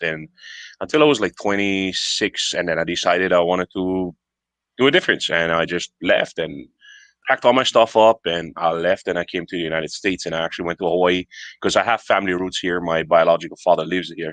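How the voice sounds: A man talks at a fairly quick pace with a low pitch and a fairly bright tone. His pitch varies in an ordinary way, and the sound is dry and close with no echo.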